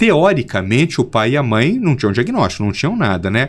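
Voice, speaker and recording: A man speaks fairly quickly, his pitch jumping up and down very widely. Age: 50s. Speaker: pediatric neurologist. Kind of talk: interview.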